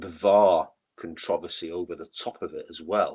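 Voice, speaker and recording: In a very clean recording with a silent background, a man speaks in a Mancunian accent. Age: 60s. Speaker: football fan, memorial foundation chairman. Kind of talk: podcast interview. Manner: repetitive, halting starts.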